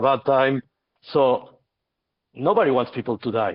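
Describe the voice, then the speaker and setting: A man with an Argentine accent, medium in pitch, at a moderate pace. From Argentina. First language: Spanish. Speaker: podcast host. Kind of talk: heated debate. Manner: halting, many repetitions.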